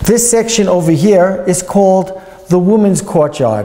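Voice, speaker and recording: Speaking at a moderate pace with ordinary pitch variation, a man with a high pitch is heard over noticeable background noise. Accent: New York. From US, New York. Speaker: tour guide. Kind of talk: guided tour talk.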